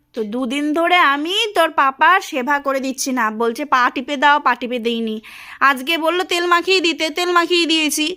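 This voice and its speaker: A woman shouts in a raised, projected voice with high pitch. Her tone is bright and sharp, with ordinary pitch variation. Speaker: vlogger, housewife. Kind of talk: casual home vlog and domestic quarrel. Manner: loud, shouting.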